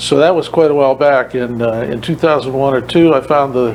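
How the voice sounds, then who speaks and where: A man with an American accent talks at a medium pitch. Noticeable background noise runs behind him. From Massachusetts. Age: 60s. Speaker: retired cab driver. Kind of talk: radio interview. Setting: radio studio, live video. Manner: halting, many fillers.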